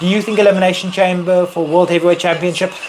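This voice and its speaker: Noticeable background noise sits behind a man's voice. He talks at a very fast pace with a high pitch. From South Africa. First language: not English. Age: 30s. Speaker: wrestling streamer. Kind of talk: live stream Q&A chat. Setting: live stream. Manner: animated.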